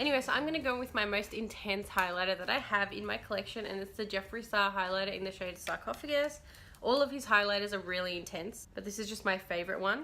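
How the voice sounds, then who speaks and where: Speaking very fast with hardly any pauses, a woman with a medium pitch has an Australian accent. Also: ordinary pitch variation. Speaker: beauty YouTuber. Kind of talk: makeup tutorial. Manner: casual, chatty.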